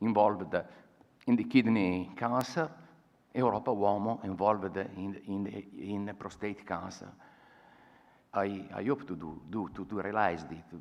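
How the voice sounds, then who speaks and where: In an Italian accent, a man speaks at a fairly slow pace and fairly low pitch with ordinary pitch variation, long, frequent pauses, big swings in loudness, and audible room echo. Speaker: patient advocate. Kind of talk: conference talk. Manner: halting.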